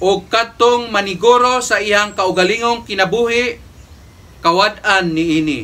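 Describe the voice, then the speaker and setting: In a raised, projected voice, a man speaks at a fairly slow pace with a high pitch and ordinary pitch variation. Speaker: priest. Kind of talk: homily and Mass presiding, preaching in a solemn, pastoral tone. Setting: church. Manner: earnest, measured, formal preaching cadence. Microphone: camera far.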